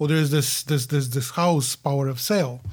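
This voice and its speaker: A fairly high-pitched man with a Bulgarian accent on a very clean recording with a silent background. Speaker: condo realtor and investor. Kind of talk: casual interview. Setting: studio.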